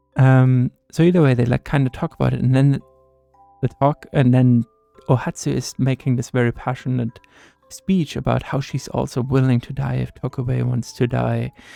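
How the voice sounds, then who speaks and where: A man at a moderate pace over music in the background, the sound dry and close with no echo. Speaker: gaming content creator. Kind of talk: casual talk to camera, gaming commentary. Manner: soft-spoken, relaxed.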